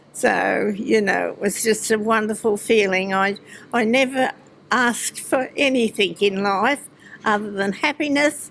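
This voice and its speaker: An Australian accent at a fairly slow pace, with ordinary pitch variation and noticeable background noise. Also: woman. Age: 80s+. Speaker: retired businesswoman and harness racing owner. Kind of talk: interview. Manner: halting.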